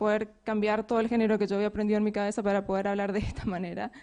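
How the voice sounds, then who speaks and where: A woman's voice at a very fast pace. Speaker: software developer and conference speaker. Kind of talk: conference talk.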